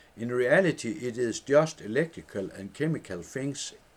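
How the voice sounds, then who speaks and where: A man's fairly slow speech in a Danish accent, full of lively intonation. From Denmark. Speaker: former headmaster. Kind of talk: reading own book aloud.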